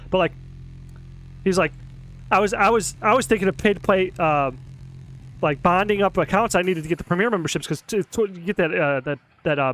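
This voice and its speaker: A man with a high pitch talks in an animated tone at a fairly quick pace, using ordinary pitch variation and long, frequent pauses. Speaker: gaming streamer. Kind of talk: casual gameplay commentary. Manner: fast.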